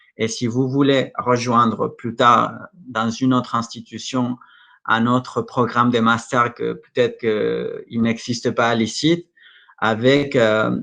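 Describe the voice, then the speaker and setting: In a Mexican accent, a man speaks at a fairly slow pace with a medium pitch and monotone, flat intonation. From Mexico. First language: Spanish (speaking French). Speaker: school representative presenting study programs. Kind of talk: Q&A at an online conference. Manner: halting, many hesitations and repetitions.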